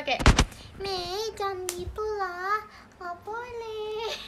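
In a playful, put-on character voice pitched extremely high, a woman speaks very slowly over loud background noise. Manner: playful, scolding.

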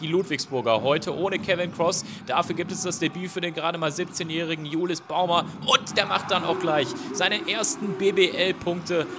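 Noticeable background noise surrounds this recording. A man with a high pitch speaks at a moderate pace. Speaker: basketball commentator. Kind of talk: sports highlights commentary, voiceover recap. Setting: studio voiceover over game footage. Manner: brisk, energetic play-by-play delivery; rattles off stats and names in a flow.

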